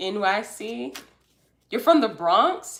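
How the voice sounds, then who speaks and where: Amid noticeable background noise and audible room echo, a woman talks very slowly, her pitch swinging very widely. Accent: American. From US South, Atlanta, Georgia. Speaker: tarot card reader, livestream host. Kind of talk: live stream reading and chat. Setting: live stream. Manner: casual, chatty.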